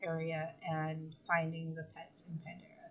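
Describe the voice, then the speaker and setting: A woman's somewhat breathy voice at a very slow pace. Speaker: gaming streamer. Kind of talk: live gameplay stream. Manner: slurred speech; hesitant, many fillers.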